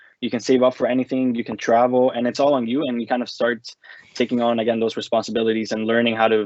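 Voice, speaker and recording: Delivered at a very fast pace, this voice has a Spanish accent and a monotone, flat intonation. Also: man. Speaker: former international student. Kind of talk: casual interview.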